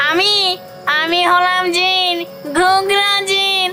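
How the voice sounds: A cartoonish character voice pitched extremely high sounds over clear background music.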